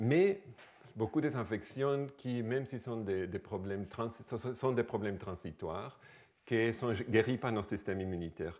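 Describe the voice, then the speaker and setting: The speaker is a man with a non-native accent. He talks fairly slowly. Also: medium pitch for a man, ordinary pitch variation. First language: not French (speaking French). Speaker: microbiology researcher. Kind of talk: lecture. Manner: halting.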